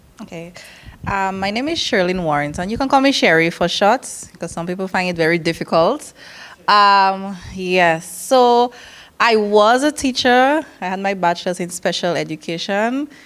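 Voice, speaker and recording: A woman with a slight Dominican accent speaks at a medium pitch and a moderate pace. Her intonation is lively. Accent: slight Dominican twang. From Sint Maarten, Dutch Quarter. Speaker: nurse and community council officer. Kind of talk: presentation at information session. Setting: evening information session with audience. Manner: animated.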